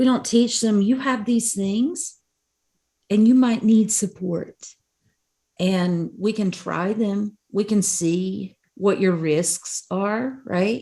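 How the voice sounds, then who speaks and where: A woman speaks very slowly in a medium-pitched, somewhat breathy voice with ordinary pitch variation, recorded very cleanly against a silent background. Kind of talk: conference talk. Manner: animated.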